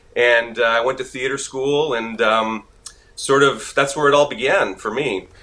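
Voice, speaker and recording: A man speaks at a medium pitch and a moderate pace. His tone is bright and sharp, with ordinary pitch variation. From Quebec, Montreal. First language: French. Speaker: actor. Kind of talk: interview. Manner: casual, many filler words.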